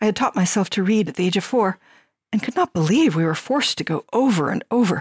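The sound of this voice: Lively intonation in an unforced reading voice, the background quiet.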